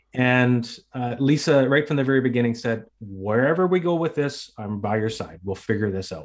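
Here is a man with a plain, everyday voice and a Canadian accent. His medium pitch moves with lively intonation at a moderate pace. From northern British Columbia, Canada. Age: 50s. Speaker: retired police officer and cancer survivor. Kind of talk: interview.

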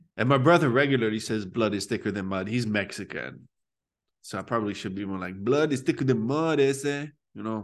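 An ordinary speaking voice with an American accent, a fairly quick pace and lively intonation, in a quiet background. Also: man, medium pitch for a man. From Phoenix, Arizona, US. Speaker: comedian and comedy club promoter. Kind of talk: casual podcast interview.

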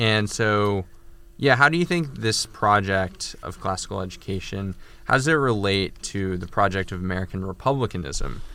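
A man's bright, sharp voice, fairly low in pitch, with lively intonation at a moderate pace. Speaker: podcast co-host and journal editor. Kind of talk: podcast interview.

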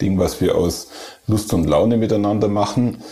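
A man with an Allgäu accent at a moderate pace and fairly even intonation, with audible room echo and noticeable background noise. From Germany, Allgäu. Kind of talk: casual chat.

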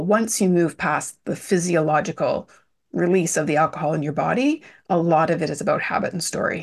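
A woman with a plain, everyday voice, a fairly low pitch and a fairly quick pace against a quiet background. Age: 40s. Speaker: business and well-being mentor. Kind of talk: interview.

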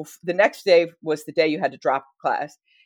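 With an American accent and a plain, everyday voice, a woman speaks at a fairly low pitch and moderate pace against a quiet background. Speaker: history professor and author. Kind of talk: casual interview.

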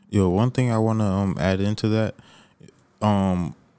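With music in the background, a man with an American accent talks at a fairly slow pace and a fairly low pitch. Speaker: podcast host. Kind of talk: casual chat.

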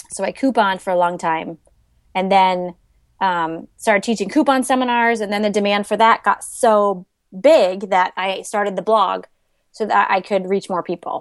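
Against a quiet background, a woman uses a plain, everyday voice at a medium pitch, moderate pace and ordinary pitch variation. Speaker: money-saving blogger. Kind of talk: interview.

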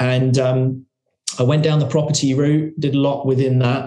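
A man's voice has a dark, mellow tone, somewhat breathy, with monotone, flat intonation. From England, working-class council estate. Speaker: investment company founder. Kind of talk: podcast interview.

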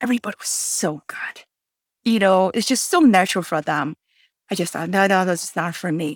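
A woman's unremarkable speaking voice, medium in pitch with ordinary pitch variation, at a fairly quick pace, in a dry, close sound with no echo on a very clean recording with a silent background. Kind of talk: casual chat.

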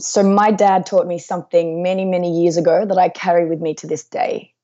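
Delivered with fairly even intonation, this is a plain, everyday voice. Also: woman. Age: 30s. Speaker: author and life coach. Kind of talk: interview. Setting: remote call at night without power.

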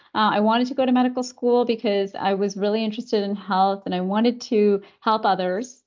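Here is a normal speaking voice with a Canadian accent. The pace is moderate and the pitch varies in an ordinary way. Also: woman. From Canada. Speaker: pediatrician. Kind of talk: interview.

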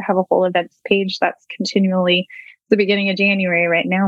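The speaker has an American accent and talks at a fairly quick pace with monotone, flat intonation. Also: woman. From Northern California. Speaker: equine coach and rancher. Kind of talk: interview.

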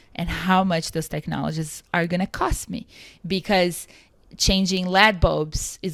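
A woman with a Portuguese accent, fairly low-pitched, monotone and flat, at a moderate pace, on a very clean recording with a silent background. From Brazil. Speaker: climate tech founder and CEO. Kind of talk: interview.

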